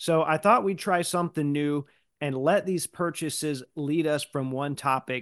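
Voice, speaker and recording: A man speaks in an ordinary speaking voice at a fairly high pitch. The sound is dry and close with no echo over a quiet background. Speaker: podcast host. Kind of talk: casual interview chat.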